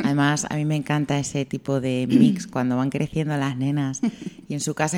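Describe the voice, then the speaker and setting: This woman's voice sits very deep and low. She talks at a moderate pace. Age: 20s. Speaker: radio host. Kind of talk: radio interview.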